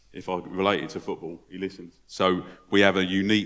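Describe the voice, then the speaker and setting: With a London accent, a man talks in a very deep, low pitch. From London, England. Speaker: football club charity head. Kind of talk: panel discussion. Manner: hesitant, with filler words and repetitions.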